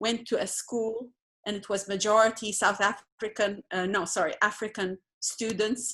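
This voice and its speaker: A woman with a non-native accent, a bright, sharp tone and medium pitch. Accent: non-local accent, sounds foreign. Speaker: participant in a spiritual community dialogue. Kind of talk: group video call discussion.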